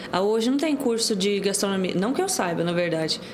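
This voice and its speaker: A woman speaks at a moderate pace. The room echo is audible, and there is noticeable background noise. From Goiás, Brazil (Pontalina). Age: 20s. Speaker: baker, cookie business owner. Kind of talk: casual interview.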